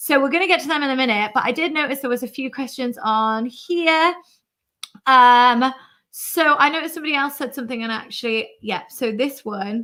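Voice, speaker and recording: Raised and projected, a woman's bright, sharp voice rings out at a high pitch and fairly quick pace on a very clean recording with a silent background. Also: ordinary pitch variation. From UK. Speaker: YouTuber. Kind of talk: live stream chat. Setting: live stream. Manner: animated.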